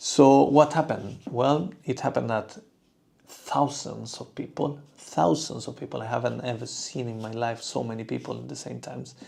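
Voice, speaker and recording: A man talks with a Spanish accent. His pace is moderate. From southern Spain. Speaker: toy artist. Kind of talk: livestream chat. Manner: halting, many fillers.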